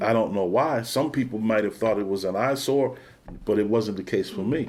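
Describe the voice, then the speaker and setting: In a Philadelphia accent, a man with a fairly low voice speaks with ordinary pitch variation. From Philadelphia, Pennsylvania. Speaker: former college track athlete. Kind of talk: oral history interview answer. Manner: casual, reflective.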